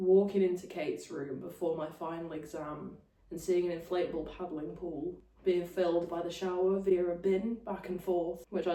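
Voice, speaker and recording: The intonation stays flat and monotone at a fairly quick pace, with audible room echo. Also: woman. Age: 20s. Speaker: podcast co-host, recent graduate. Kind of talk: casual chat.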